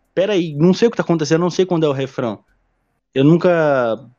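Here a man talks with ordinary pitch variation. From Brazil, São Paulo (Diadema). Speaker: podcast host. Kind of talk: casual interview.

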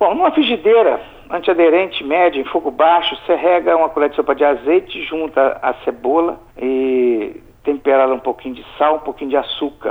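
Using an ordinary speaking voice, a man with fairly high pitch talks with ordinary pitch variation. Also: moderate pace. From Brazil, Espírito Santo (Alegre, south of the state). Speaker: chef. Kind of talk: recipe tutorial in radio chat.

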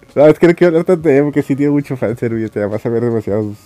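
A man talks at a fairly high pitch. The sound is dry and close with no echo, with music in the background. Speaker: anime podcaster. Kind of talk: casual monologue. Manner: halting, with frequent repetitions.

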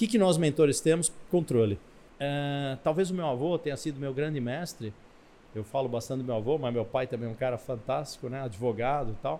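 Medium pitch from a man in a dark, mellow tone, fairly quick, with ordinary pitch variation. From Brazil, Italian family. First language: Italian (speaking Portuguese). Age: middle-aged. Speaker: business mentor and entrepreneur. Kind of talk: interview.

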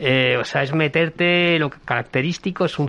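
A man's bright, sharp voice at a moderate pace, with fairly even intonation. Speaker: novelist. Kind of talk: casual chat.

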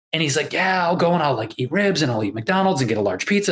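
A man talks at a very fast pace. His fairly high voice moves in very wide pitch swings. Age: 40s. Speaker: podcast host and health coach. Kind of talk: casual chat.

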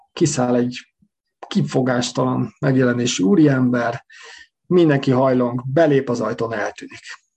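The man talks at a fairly slow pace. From Hungary. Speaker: emigrant telling his story. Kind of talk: storytelling interview. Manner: halting, repeats words.

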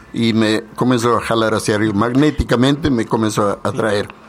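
Noticeable background noise is present. Over it, a man speaks at a moderate speed. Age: 80s+. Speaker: leader of a spiritual movement. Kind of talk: radio interview.

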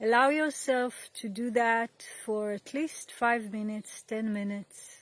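A woman's fairly high voice, a plain, everyday voice, at a fairly slow pace with fairly even intonation. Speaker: meditation teacher. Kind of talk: guided meditation. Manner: slow, calm, soothing.

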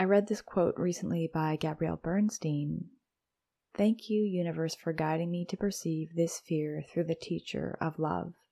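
A woman's calm, soothing voice, fairly low in pitch and dark and mellow in tone, on a very clean recording with a silent background. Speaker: podcast host and coach. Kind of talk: solo podcast episode, casual educational talk. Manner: calm, slow, soothing.

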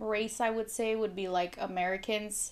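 In a very clean recording with a silent background, a woman speaks at medium pitch in a monotone, flat intonation with a Spanish accent. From Mexico. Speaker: nurse, guest. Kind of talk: casual chat, interview.

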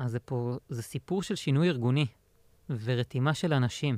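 At a moderate pace, a man talks at medium pitch with ordinary pitch variation, in a dry, close sound with no echo on a very clean recording with a silent background. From Israel, central. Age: 30s. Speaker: insurance software consultant. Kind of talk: casual interview. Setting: studio.

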